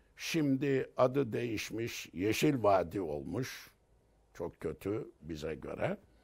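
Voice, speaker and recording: A man speaks at a very slow pace with very wide pitch swings against a quiet background. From Turkey, Sakarya Hendek village; Sakarya, Turkey. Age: 70s. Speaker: theology professor. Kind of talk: life story interview. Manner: halting. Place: home room. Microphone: lapel.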